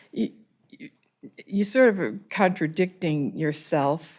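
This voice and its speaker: The speech moves at a very slow pace. The recording is very clean, with a silent background. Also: woman. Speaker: town council member. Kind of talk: council debate. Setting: town council meeting. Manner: loud.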